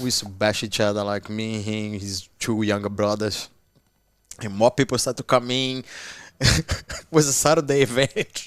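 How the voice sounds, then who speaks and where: A man with a Portuguese accent speaks at a fairly low pitch, his loudness swinging widely. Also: ordinary pitch variation, moderate pace. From Brazil, Petropolis near Rio. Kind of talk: casual podcast interview. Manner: halting, many restarts.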